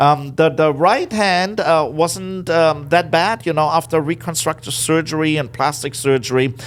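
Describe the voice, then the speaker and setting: A man's fairly high voice in a German accent, at a moderate pace with ordinary pitch variation and hardly any pauses. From Germany, Berlin. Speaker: business owner. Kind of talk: interview. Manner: loud.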